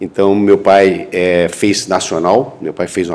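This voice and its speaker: This man's voice sits very deep and low, with fairly even intonation. There is noticeable background noise. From Brazil, Rio de Janeiro state (Pádua, then Rio). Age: 60s. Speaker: physician, entrepreneur and investor. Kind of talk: panel talk at a medical congress. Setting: university auditorium with audience. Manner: conversational, with hesitations.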